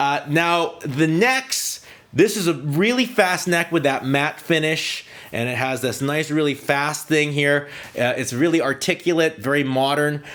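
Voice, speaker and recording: A man with an unremarkable speaking voice talks fairly slowly at a fairly high pitch, with ordinary pitch variation. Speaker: guitar youtuber reviewing guitars. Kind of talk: casual gear review talk.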